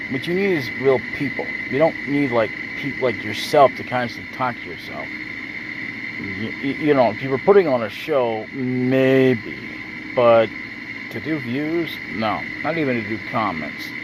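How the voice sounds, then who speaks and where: Lively intonation from a man at medium pitch and a moderate pace, with audible room echo and noticeable background noise. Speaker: YouTuber. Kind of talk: casual vlog monologue. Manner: halting, stuttering.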